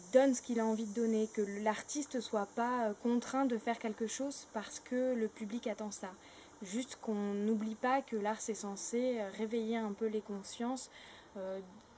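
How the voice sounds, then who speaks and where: This woman's voice sits fairly high in pitch with fairly even intonation. Her pace is very slow. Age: 20s. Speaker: actress and theatre director. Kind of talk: interview monologue. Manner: halting, many hesitations.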